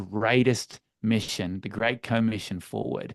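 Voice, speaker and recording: Against a quiet background, a man in an Australian accent speaks at a medium pitch. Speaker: church leadership coach. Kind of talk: webinar interview.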